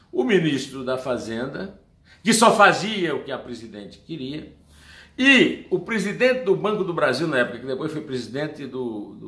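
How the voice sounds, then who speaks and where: A man's fairly high, bright and sharp voice at a moderate pace, with very wide pitch swings, big swings in loudness and audible room echo. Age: 60s. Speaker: political commentator. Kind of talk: opinion commentary monologue. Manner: animated.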